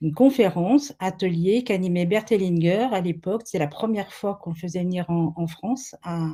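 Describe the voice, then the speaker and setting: A woman's medium-pitched, somewhat breathy voice with a dark, mellow tone, ordinary pitch variation, a moderate pace and hardly any pauses. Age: 70s. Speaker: family constellation therapist. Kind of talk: webinar interview. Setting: webinar video call. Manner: hesitant, many fillers.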